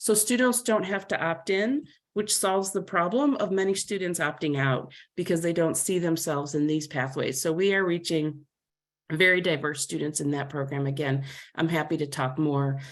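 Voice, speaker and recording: A woman speaks in a fairly low voice with lively intonation. The background is quiet. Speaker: workforce development leader. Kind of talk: webinar presentation. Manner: fast.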